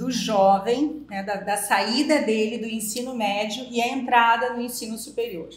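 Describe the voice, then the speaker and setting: With audible room echo around her, a woman speaks at a fairly high pitch with ordinary pitch variation. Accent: slight gaúcho. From southern Brazil (Rio Grande do Sul). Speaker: psychologist. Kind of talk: podcast interview.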